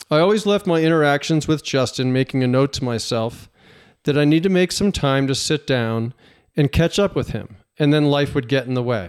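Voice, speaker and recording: Here a man has a plain, everyday voice, fairly high in pitch, with lively intonation and a moderate pace, in a very clean recording with a silent background. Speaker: podcast host and professional fisherman. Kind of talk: casual interview.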